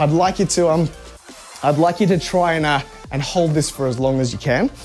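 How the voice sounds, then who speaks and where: Over faint background music, a man talks at a moderate pace. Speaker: fitness coach streamer. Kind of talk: workout instruction. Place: gym. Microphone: lapel.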